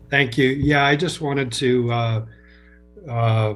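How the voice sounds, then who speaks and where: A man's somewhat breathy, medium-pitched voice at a moderate pace, with audible room echo. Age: 60s. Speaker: public meeting participant. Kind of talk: public meeting comment.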